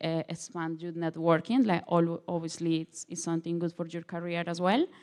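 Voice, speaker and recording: With a Colombian accent, a woman talks in a monotone, flat intonation at a fairly low pitch, in a very clean recording with a silent background. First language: Spanish. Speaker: international law student. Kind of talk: panel presentation. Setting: open day panel event. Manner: halting, many fillers.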